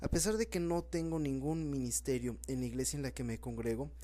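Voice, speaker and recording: Audible room echo colors the voice of a man as he talks. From Mexico, Puebla. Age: 20s. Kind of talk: sermon.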